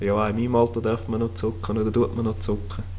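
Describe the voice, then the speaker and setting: Here is a man with a fairly low pitch. His voice sounds somewhat breathy. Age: 30s. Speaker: podcast co-host, construction site manager. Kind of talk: casual chat.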